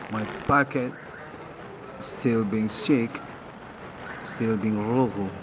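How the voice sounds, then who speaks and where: Noticeable background noise accompanies a man with a non-native accent and medium pitch. He talks at a fairly slow pace with fairly even intonation. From Indonesia. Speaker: channel owner reporting personal experiences. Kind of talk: personal monologue report. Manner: halting.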